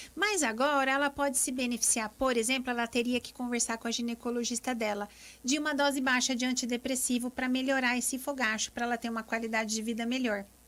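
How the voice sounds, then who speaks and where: A woman with a high voice talks very fast, her intonation fairly even. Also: hardly any pauses. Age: 40s. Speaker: gynecologist. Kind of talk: live radio interview.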